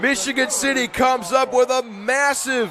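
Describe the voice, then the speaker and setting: Noticeable background noise accompanies a man with an extremely high pitch who speaks at a fairly slow pace with fairly even intonation. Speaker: football play-by-play announcer. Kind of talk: live football play-by-play commentary.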